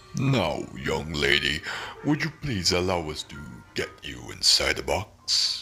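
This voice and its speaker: Putting on a character voice, a man speaks very deep and low at a fairly slow pace, his pitch swinging very widely over clear background music. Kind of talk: theatrical showman patter. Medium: audio drama. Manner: grandiloquent, smug, mocking.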